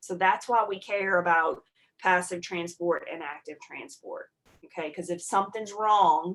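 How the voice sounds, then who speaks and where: An ordinary speaking voice moves at a fairly slow pace with big swings in loudness and fairly even intonation. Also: woman, medium pitch for a woman. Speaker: college nursing instructor. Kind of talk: online lecture. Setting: video call.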